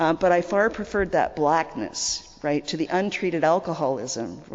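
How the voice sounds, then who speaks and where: Over noticeable background noise, a woman with a Canadian accent speaks at a moderate pace in a very deep, low pitch with ordinary pitch variation. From Canada. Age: 60s. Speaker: recovering alcoholic speaker. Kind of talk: testimony. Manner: conversational, repetitive fillers.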